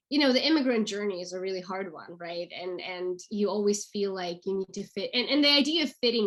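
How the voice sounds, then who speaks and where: A woman with a Russian accent talks at a fairly quick pace. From Russia, St Petersburg. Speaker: actress and acting career coach. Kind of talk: interview. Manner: fast.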